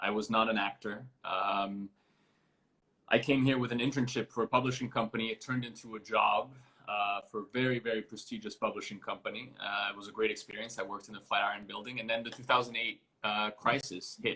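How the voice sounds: At a fairly quick pace, the voice has a bright, sharp tone with a slightly husky edge and fairly even intonation. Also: man, fairly low pitch for a man.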